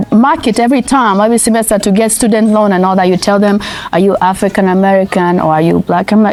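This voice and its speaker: A woman speaks fairly quickly while music plays behind her. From Nigeria. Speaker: interviewee. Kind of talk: casual chat. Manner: animated.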